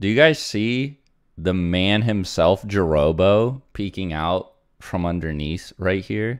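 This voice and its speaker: Against a quiet background, a man talks at a very slow pace in a very deep, low voice. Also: ordinary pitch variation. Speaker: streamer. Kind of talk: live stream chat.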